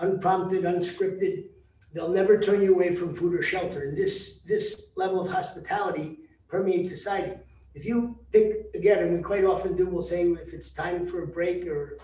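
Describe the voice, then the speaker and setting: The speaker has a New Jersey accent and monotone, flat intonation. Audible room echo and noticeable background noise fill the recording. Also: man, high pitch for a man, moderate pace. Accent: American (New Jersey). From US, New Jersey, Mongolian-American community. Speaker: travel company founder. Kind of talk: presentation to tour group. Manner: halting, many fillers.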